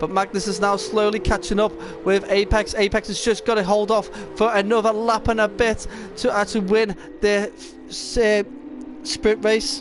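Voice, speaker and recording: Over noticeable background noise, a man with a high voice sounds excited, speaking at a moderate pace with ordinary pitch variation. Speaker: esports race commentator. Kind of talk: live commentary. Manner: halting, frequent self-corrections.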